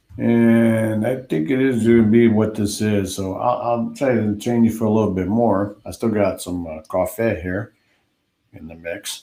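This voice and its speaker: A man's fairly low voice with an American accent, dark and mellow in tone, at a moderate pace with fairly even intonation. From Chicago, US Midwest. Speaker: DJ and live stream host. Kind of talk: casual live stream chat. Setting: live stream.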